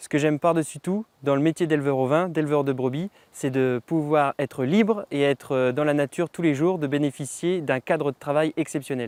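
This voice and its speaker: A man with a normal speaking voice and a fairly high pitch talks at a moderate pace with hardly any pauses and ordinary pitch variation. The sound is dry and close with no echo, on a very clean recording with a silent background. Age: 20s. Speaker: sheep farmer. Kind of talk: interview testimony.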